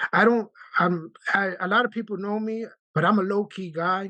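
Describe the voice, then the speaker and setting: Against a quiet background, a man with a New York accent talks with ordinary pitch variation. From Brooklyn, New York. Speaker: union branch president, letter carrier. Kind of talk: video call meeting discussion. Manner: animated.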